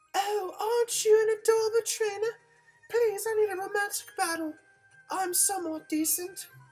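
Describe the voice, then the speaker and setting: Over music in the background, a put-on character voice speaks at an extremely high pitch. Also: moderate pace. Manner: flirty, sweet.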